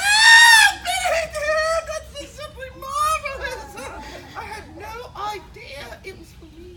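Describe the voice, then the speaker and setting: A woman's shouted, put-on character voice at an extremely high pitch, with lively intonation, a fairly slow pace and big swings in loudness. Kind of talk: comic period melodrama. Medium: comedy sketch. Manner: breathless, gushing.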